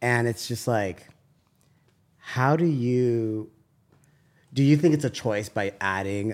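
A man with an American accent and ordinary pitch variation on a very clean recording with a silent background. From US, San Diego. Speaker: podcast host. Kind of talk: casual chat. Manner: animated.

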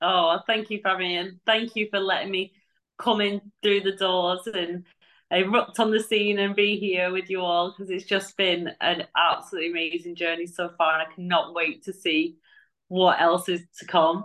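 A woman's medium-pitched voice with an English accent. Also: fairly even intonation, moderate pace. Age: 30s. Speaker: army veteran and firefighter. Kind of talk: casual chat.

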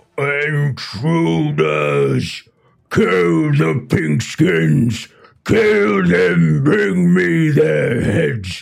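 Using a raspy put-on character voice, a man speaks at a very slow pace with a very deep, low pitch and very wide pitch swings. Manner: shouting commands.

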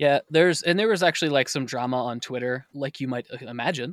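A man talks at a fairly quick pace with ordinary pitch variation in an unremarkable speaking voice. The sound is dry and close, with no echo. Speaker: podcast host and editor. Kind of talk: casual chat.

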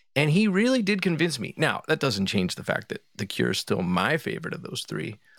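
With an American accent, a man with a fairly high pitch and vocal fry swings his pitch very widely. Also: fairly quick pace. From Philadelphia, US. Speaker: musician. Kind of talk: casual chat.

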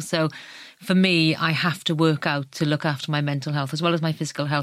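A woman with a South Wales accent talks at a fairly quick pace with very deep, low pitch and fairly even intonation. The recording is very clean, with a silent background. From Wales, South Wales Valleys. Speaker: magazine editor. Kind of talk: casual chat. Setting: studio.

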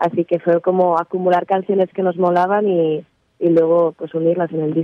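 A woman talks at a moderate pace in a fairly low voice. Her intonation is monotone and flat. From Barcelona, Spain. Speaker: musician. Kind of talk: interview. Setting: phone call.

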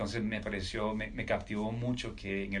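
A man with a fairly low pitch speaks at a fairly quick pace amid audible room echo. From Colombia, Caribbean coast (Riohacha, La Guajira). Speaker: military officer and entrepreneur. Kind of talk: interview conversation.

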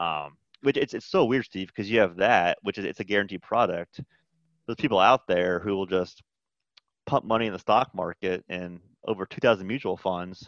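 A man's ordinary speaking voice, fairly low in pitch with ordinary pitch variation, at a moderate pace, dry and close with no echo over a quiet background. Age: 40s. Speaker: accountant. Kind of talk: casual chat.

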